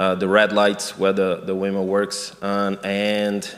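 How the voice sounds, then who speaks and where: The speaker, with a Portuguese accent, talks at a very slow pace. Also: man. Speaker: missionary. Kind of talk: interview. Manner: halting.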